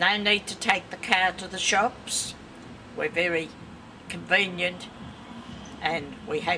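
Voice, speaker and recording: Over noticeable background noise, a speaker with an Australian accent talks at a fairly slow pace with long, frequent pauses. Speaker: local resident. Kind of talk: interview.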